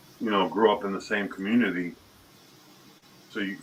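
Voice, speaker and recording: This man has an American accent and a fairly low pitch. There is noticeable background noise behind him. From Dominican Republic and Chicago. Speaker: panelist. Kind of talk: casual chat.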